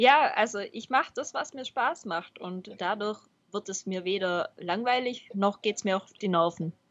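In a plain, everyday voice of medium pitch, a woman talks at a fairly slow pace, her intonation lively and her loudness swinging widely. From Baden-Württemberg, Swabia. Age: 20s. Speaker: software developer and cycling blogger. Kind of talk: podcast interview.

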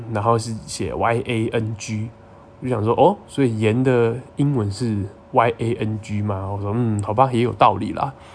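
A man talks at a moderate pace in a normal speaking voice, medium in pitch with ordinary pitch variation. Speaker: podcast host. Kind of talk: casual monologue.

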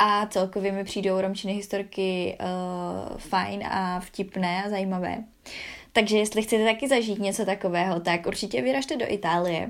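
The recording is very clean, with a silent background. A woman speaks at a moderate pace and medium pitch, with ordinary pitch variation. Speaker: podcast host. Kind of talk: casual interview; podcast intro and outro. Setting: echoey room, in England.

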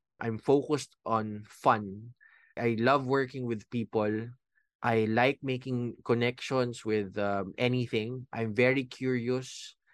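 A man's very slow, monotone, flat delivery at a medium pitch, with a dry, close sound, no echo, and a quiet background. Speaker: life coach and podcast host. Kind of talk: solo podcast monologue. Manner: casual, conversational.

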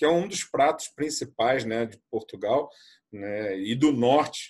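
A man speaks in a somewhat breathy voice. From Brazil, Rio de Janeiro. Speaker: tour guide. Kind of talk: casual chat.

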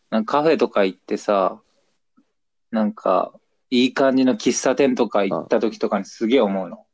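A man talks at a moderate pace in a medium-pitched, plain, everyday voice. His intonation is lively, and the sound is dry and close with no echo. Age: 20s. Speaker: podcast co-host. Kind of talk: casual chat. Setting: phone call.

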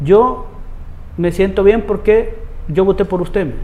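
Over noticeable background noise, a man with a Salvadoran accent talks at a moderate pace with ordinary pitch variation. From El Salvador, Soyapango. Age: 40s. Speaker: municipal councillor. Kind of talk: interview.

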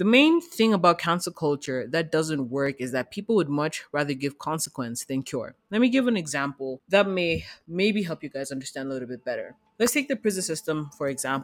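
The delivery has an animated tone and a fairly quick pace. There are hardly any pauses. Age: 20s. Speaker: podcast host. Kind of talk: casual monologue.

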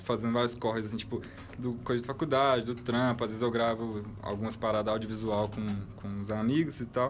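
A man speaks at a fairly quick pace in a flat monotone. The room's echo is audible. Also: medium pitch for a man. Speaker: podcast co-host. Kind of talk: casual chat.

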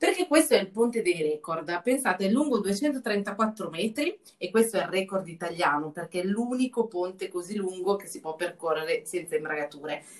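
A woman with a normal speaking voice talks at a moderate pace with lively intonation and hardly any pauses. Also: medium pitch for a woman. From Lombardy, northern Italy. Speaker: travel journalist and podcast host. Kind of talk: casual chat.

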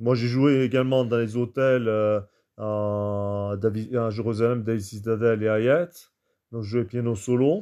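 Speaking very slowly at a medium pitch, a man with a dark, mellow tone keeps a fairly even intonation against a quiet background. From France, Toulouse. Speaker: jazz pianist. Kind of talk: interview. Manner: halting, many fillers.

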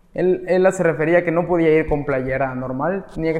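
The speaker is a man with an ordinary speaking voice and a fairly high pitch. He keeps a moderate pace and ordinary pitch variation. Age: 20s. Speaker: barber. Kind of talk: interview.

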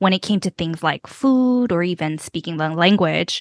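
The speech moves at a moderate pace with ordinary pitch variation, against a quiet background in a dry, close sound with no echo. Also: woman. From US, Korean American immigrant. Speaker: children's podcaster and mother. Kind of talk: interview. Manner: hesitant, many fillers.

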